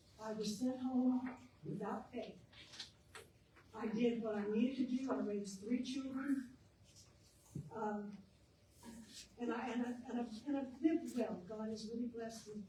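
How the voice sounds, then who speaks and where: In a room with audible echo, a woman talks at a fairly high pitch and a moderate pace. Her intonation stays fairly even, broken by long, frequent pauses. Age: 70s. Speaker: public commenter at city council meeting. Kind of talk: public comment.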